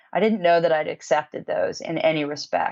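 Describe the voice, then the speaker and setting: A woman with an ordinary speaking voice, fairly low pitch and moderate pace. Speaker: musician. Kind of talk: interview answer.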